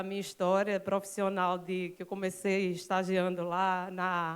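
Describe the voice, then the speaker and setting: A woman with a Pernambuco accent at a fairly slow pace, on a very clean recording with a silent background. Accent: Pernambuco accent, noticeable. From Recife, Pernambuco, Brazil. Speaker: public IT company manager, panel speaker. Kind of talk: conference talk. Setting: stage with audience.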